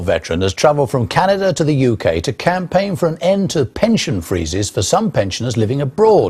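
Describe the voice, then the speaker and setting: With very wide pitch swings and a somewhat breathy sound, a man talks at a fairly quick pace with hardly any pauses. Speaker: news presenter. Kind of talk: TV news presenting and interviewing.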